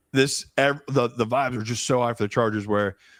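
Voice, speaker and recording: Someone with a Philadelphia accent talks at a fairly quick pace with ordinary pitch variation. The very clean recording has a silent background and a dry, close sound with no echo. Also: man. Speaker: professional sports bettor, co-host. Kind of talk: casual sports betting discussion. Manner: animated.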